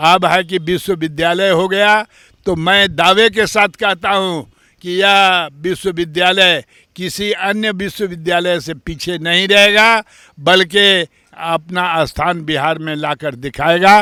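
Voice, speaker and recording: Heard in a very clean recording with a silent background, a man speaks in a high voice with a bright, sharp tone. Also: fairly even intonation. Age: 80s+. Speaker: institution founder. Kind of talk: interview statement. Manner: halting.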